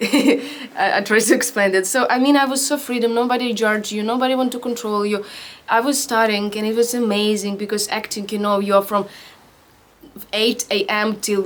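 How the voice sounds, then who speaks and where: A woman speaks with a Ukrainian accent at a moderate pace. Her pitch is fairly high and her intonation fairly even. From Ukraine, Vinnytsia. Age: 20s. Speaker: actor. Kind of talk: interview testimony. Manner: halting, with frequent fillers and restarts.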